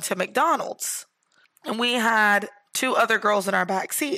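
A bright, sharp tone at a fairly slow pace in an American accent. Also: woman. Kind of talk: casual chat.

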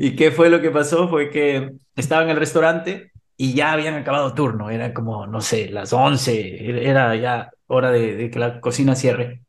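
Delivered at a moderate pace with ordinary pitch variation, this is an unremarkable speaking voice. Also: man, medium pitch for a man. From Ecuador. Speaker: HR expert and entrepreneur. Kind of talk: interview.

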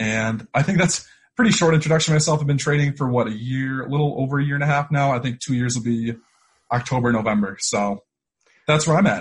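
A man talks at a very fast pace, his voice somewhat breathy. His pitch sits fairly high. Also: ordinary pitch variation. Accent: American. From Syracuse, New York. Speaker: podcast host and trader. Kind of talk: casual interview chat. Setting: video call.

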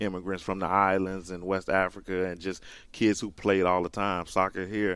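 A man's very deep, low voice in a Southern US accent, with monotone, flat intonation. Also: very clean recording, silent background. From rural Mississippi. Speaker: college soccer coach. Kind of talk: radio interview. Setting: studio.

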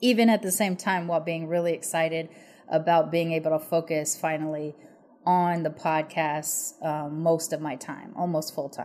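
With an American accent, a woman in an unremarkable speaking voice talks at a moderate pace, fairly low in pitch and with fairly even intonation. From United States. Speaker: podcast host. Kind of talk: casual interview chat. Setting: video call.

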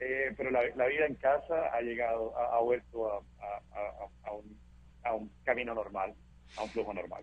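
A man at a moderate pace and medium pitch, with fairly even intonation and long, frequent pauses. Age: 40s. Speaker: monkeypox survivor. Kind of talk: interview.

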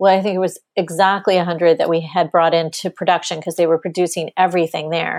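On a very clean recording with a silent background, a woman with a fairly low pitch talks very fast in a monotone, flat intonation, hardly pausing, her sound dry and close with no echo. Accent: American. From Texas. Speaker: business consultant. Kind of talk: interview.

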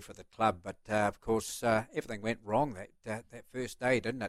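A man's medium-pitched voice at a moderate pace, with fairly even intonation. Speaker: retiring greyhound racing commentator. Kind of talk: casual chat. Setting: studio.

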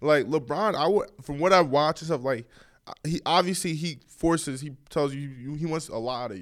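The voice moves at a fairly quick pace with ordinary pitch variation and big swings in loudness. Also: man. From New York and Bergen County, New Jersey. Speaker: college basketball player. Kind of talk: interview.

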